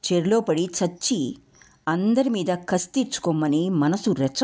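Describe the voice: The text is given in plain reading aloud. Nothing more than a straight read is heard.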